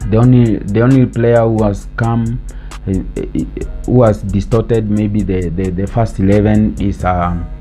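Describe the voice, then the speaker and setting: A man's fairly low voice with fairly even intonation over music in the background. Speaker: sports show host. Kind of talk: casual football commentary to camera.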